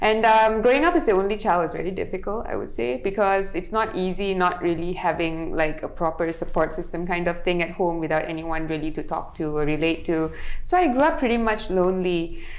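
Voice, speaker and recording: A woman speaks at a fairly quick pace with hardly any pauses, at a medium pitch with ordinary variation. Audible room echo and noticeable background noise fill the recording. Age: 20s. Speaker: model and influencer. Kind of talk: casual interview chat.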